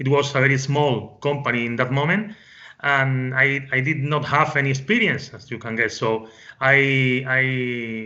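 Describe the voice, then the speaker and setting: A fairly slow delivery in a Spanish accent, with audible room echo. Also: man. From Spain. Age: 40s. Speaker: business consultant. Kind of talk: interview. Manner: halting, with many fillers and repetitions.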